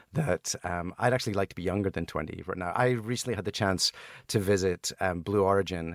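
A man with a Scottish accent speaks at a very deep, low pitch in a dry, close sound with no echo. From Scotland. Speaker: entrepreneur. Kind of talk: casual chat.

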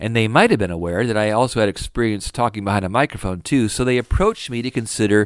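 A man with an American accent speaks fairly quickly at a medium pitch with ordinary pitch variation. The sound is dry and close with no echo, on a very clean recording with a silent background. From Indiana, US Midwest (Fort Wayne). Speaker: radio sales manager and podcaster. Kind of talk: solo podcast monologue. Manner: polished broadcaster delivery.

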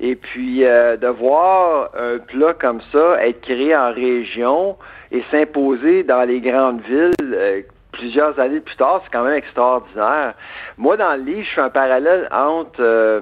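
Speaking very slowly with a Quebec accent, a man holds a medium pitch. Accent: Québécois. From Quebec, Eastern Townships (Bois-Francs). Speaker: food industry researcher and author. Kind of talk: radio interview. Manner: animated, laughs often.

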